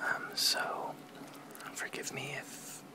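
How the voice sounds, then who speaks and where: The voice is a whisper. There is noticeable background noise behind it. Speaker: amateur ASMR reader. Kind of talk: casual talk to camera. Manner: whispered.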